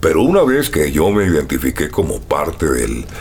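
Through noticeable background noise, a man with a very deep, low pitch speaks at a moderate pace with very wide pitch swings. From Colombia, Barranquilla. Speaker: voice actor. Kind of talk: casual interview.

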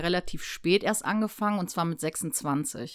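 An ordinary speaking voice from a woman, fairly low in pitch with ordinary pitch variation, in a very clean recording with a silent background. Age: 30s. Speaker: former drug user sharing her experience. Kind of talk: casual chat.

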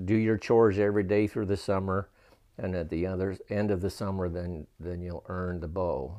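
In a quiet background, a man with an American accent and a very deep, low pitch talks at a moderate pace in a dark, mellow tone with fairly even intonation. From Utah (Ogden area). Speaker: church member telling life story. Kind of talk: testimony. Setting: his home.

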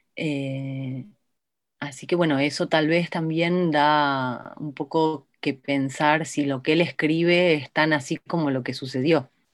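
A woman speaks at a very slow pace, her pitch very deep and low. Her intonation is monotone and flat, and the recording is very clean with a silent background. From Buenos Aires province, Argentina. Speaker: documentary filmmaker. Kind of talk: interview.

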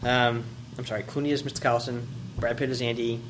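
Audible room echo and noticeable background noise both mark this recording. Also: man. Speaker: podcast co-host. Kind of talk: casual chat.

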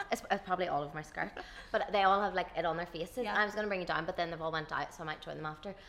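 This woman has a medium pitch, ordinary pitch variation and a Tyrone accent. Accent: Northern Irish, rural Tyrone. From Dungannon, Northern Ireland. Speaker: podcast host. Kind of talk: casual chat, interview. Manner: chatty, laughs often.

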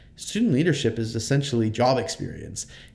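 In a room with audible echo, a man with a dark, mellow tone and medium pitch speaks at a fairly quick pace. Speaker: student leader. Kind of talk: interview.

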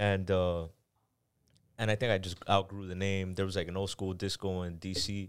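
A man's very deep, low voice with monotone, flat intonation at a moderate pace, on a very clean recording with a silent background. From Miami and Panama. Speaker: artist. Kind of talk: casual chat.

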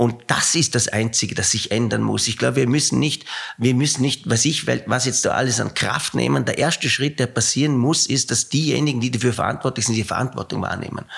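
A man at medium pitch and a fairly quick pace, with very even loudness and noticeable background noise. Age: 60s. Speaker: company CEO, former rowing coach. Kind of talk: interview.

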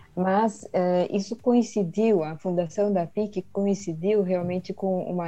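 A woman speaks at a fairly slow pace and medium pitch with a dark, mellow tone. Her pitch variation is ordinary. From Sweden, raised in Brazil from age 10. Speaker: retired conference interpreter. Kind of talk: interview.

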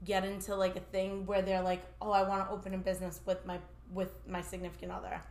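Audible echo fills the room. A woman speaks fairly quickly within it. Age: 30s. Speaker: mental health professional. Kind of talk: casual chat.

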